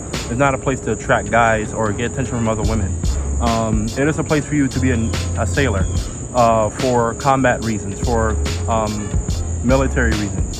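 Clear music plays in the background as a man talks at a fairly quick pace, in a dry sound with no echo. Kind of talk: casual vlog chat. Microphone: phone near.

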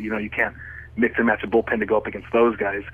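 Noticeable background noise beneath a man's fairly low-pitched voice. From southern California. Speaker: professional wrestler. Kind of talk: radio interview answer. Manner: casual, hesitant.

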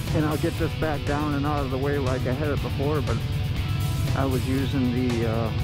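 Dry sound with no echo over loud music in the background. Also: man. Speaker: motorcycle vlogger. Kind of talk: casual vlog chat. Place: motorbike. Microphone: phone near.

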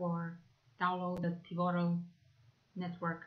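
A woman is speaking at a moderate pace. Her voice is somewhat breathy. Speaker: presenter. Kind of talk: presentation.

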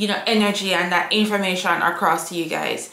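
A woman's fairly low, bright, sharp voice at a fairly quick pace, with fairly even intonation and strong room echo.

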